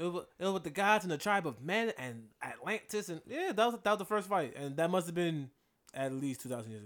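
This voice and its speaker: On a very clean recording with a silent background, a man talks at a fairly quick pace. His high voice makes very wide pitch swings. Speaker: podcast co-host. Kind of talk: casual banter, movie review. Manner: joking, interrupting.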